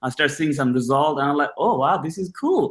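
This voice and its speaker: The recording is very clean, with a silent background. A man with a slight Bangladeshi accent speaks at a fairly high pitch with ordinary pitch variation. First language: Bengali. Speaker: personal trainer. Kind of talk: casual interview.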